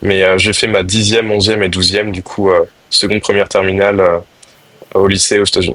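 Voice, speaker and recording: A voice with flat, monotone intonation sits over noticeable background noise. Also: man, fairly low pitch for a man, fairly quick pace. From France (moved around, military family). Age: 20s. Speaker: lacrosse player, national team. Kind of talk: podcast interview. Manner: hesitant, many fillers.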